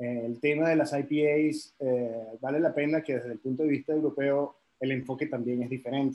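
In a monotone, flat intonation, a man talks with a dark, mellow tone and hardly any pauses. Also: fairly high pitch for a man, moderate pace. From Caribbean, raised partly in France. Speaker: head brewer. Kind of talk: casual interview.

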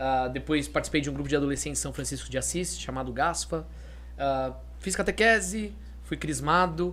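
A man at a moderate pace, with audible room echo. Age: 30s. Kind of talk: casual chat.

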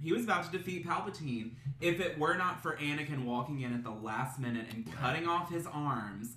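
A man with an American accent speaks at a fairly high pitch with lively intonation, with audible room echo and noticeable background noise. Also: fairly quick pace. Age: 20s. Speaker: podcast host. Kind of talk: casual chat.

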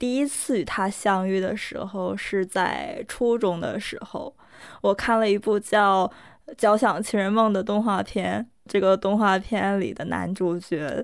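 Speaking at a fairly slow pace, a woman with a medium pitch shows ordinary pitch variation on a very clean recording against a silent background. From Northeast China. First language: Korean (speaking Chinese). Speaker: podcast co-host. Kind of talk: casual chat; scripted narration.

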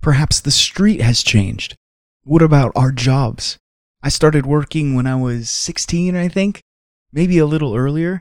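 In an ordinary speaking voice, a man talks fairly slowly at a fairly high pitch with ordinary pitch variation. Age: 30s. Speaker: devotional podcast host. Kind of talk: devotional reflection.

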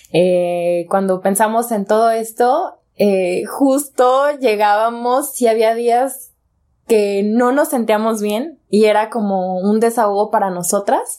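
Speaking at a very slow pace, a woman has a dark, mellow tone and a fairly high pitch. She uses ordinary pitch variation and speaks in a Mexican accent. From Mexico, Jalisco (Guadalajara area). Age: 20s. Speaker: podcast co-host. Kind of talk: casual chat.

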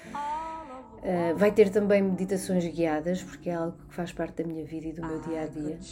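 In a Lisbon accent, a woman speaks at a moderate pace with hardly any pauses and a fairly low pitch. Her loudness swings widely, her pitch varies in an ordinary way, and music plays in the background. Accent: European Portuguese, Lisbon area. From Portugal, Barreiro (Lisbon south bank). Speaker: macrobiotics and nutrition coach. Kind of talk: personal introduction monologue. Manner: hesitant, many filler sounds.

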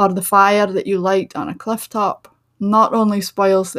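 In a Shetland accent, a woman talks at a moderate pace with monotone, flat intonation on a very clean recording with a silent background. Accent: Shetland Scottish. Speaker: podcast host, writer and tour guide. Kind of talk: solo podcast talk.

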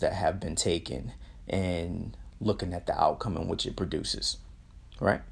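A man speaks with a very deep, low pitch. Vocal fry runs through his voice. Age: 30s. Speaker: motivational podcast host. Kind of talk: motivational monologue. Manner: animated.

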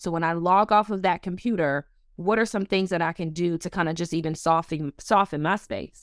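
On a very clean recording with a silent background, a woman with an American accent speaks in an animated tone at a moderate pace. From Buffalo, New York, US. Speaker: relationship coach. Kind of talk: casual interview chat. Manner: animated, laughs often.

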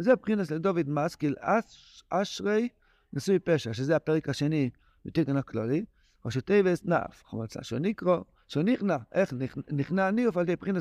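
Pausing long and often, a man with a fairly high pitch talks at a moderate pace with lively intonation, in a dry, close sound with no echo and a quiet background. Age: 60s. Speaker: rabbi teaching Torah text. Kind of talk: lecture. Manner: animated.

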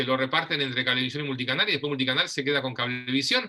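Speaking with a Rioplatense accent, a man uses a medium pitch and ordinary pitch variation. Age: 50s. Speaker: TV host and producer. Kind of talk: casual interview chat.

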